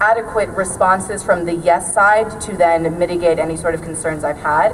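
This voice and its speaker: Noticeable background noise runs under speech delivered at a moderate pace with fairly even intonation. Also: woman. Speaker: student activist. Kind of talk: rally speech. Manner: loud.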